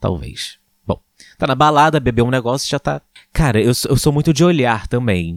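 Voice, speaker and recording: On a very clean recording with a silent background, a man of medium pitch speaks at a moderate pace with lively intonation. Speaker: podcast host. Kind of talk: casual chat. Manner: animated.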